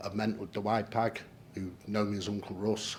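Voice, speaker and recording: A man with a fairly low pitch speaks at a fairly slow pace in a monotone, flat intonation. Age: 60s. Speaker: patient panel member. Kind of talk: panel presentation.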